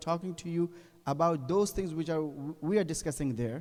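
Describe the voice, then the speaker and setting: This voice has a non-native accent, a dark, mellow tone and ordinary pitch variation. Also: man. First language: not English. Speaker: Islamic cleric. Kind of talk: religious lecture. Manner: halting, self-correcting.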